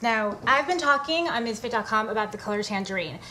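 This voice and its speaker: Her pitch fairly high, a woman talks at a fairly quick pace. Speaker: fitness blogger. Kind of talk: casual vlog tutorial.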